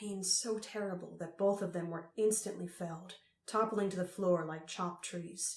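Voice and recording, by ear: The speaker reads aloud. The voice is natural.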